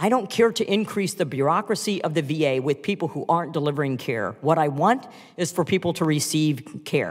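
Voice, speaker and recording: In a very clean recording with a silent background, a man with a plain, everyday voice speaks fairly quickly, pitched fairly high with lively intonation. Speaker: congresswoman and physician. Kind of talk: congressional hearing questioning.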